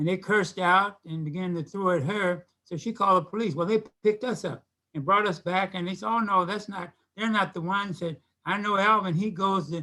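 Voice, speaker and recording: A man speaks fairly quickly in an American accent with a raised, projected voice. His tone is bright and sharp, his pitch high and his intonation fairly even. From Kansas City, Missouri. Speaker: retired police officer and community activist. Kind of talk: interview storytelling. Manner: halting, with frequent repetitions.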